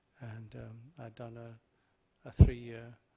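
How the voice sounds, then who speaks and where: A very slow, somewhat breathy male voice at medium pitch, dark and mellow in tone, with an English accent. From southern England. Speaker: Buddhist monk. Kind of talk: talk to audience. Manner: halting.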